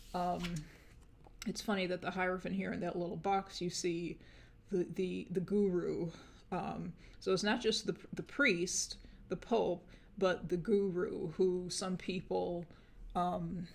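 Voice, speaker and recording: Speaking at a fairly slow pace with long, frequent pauses, a woman has a medium pitch, vocal fry and monotone, flat intonation. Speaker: tarot reader. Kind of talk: tarot reading monologue. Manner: hesitant, many fillers.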